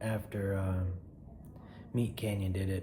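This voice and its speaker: A quiet man speaks at a fairly slow pace with a fairly low pitch. Noticeable background noise and audible room echo surround him. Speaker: comedy skit youtuber. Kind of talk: casual vlog talk to camera. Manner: quiet, holding voice down; halting, many fillers.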